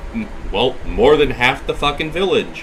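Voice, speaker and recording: A loud man with lively intonation over noticeable background noise. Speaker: gaming streamer. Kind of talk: casual chat.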